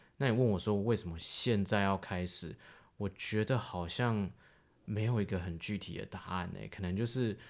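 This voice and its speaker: Here a man speaks at a moderate pace with a fairly low pitch. The recording is very clean, with a silent background. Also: fairly even intonation. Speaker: podcast co-host and filmmaker. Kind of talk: casual chat.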